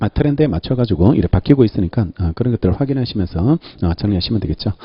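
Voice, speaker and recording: A man's fairly low voice, very fast, somewhat breathy, with lively intonation. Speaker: law lecturer. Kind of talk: lecture. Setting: classroom with microphone. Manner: frequent filler sounds.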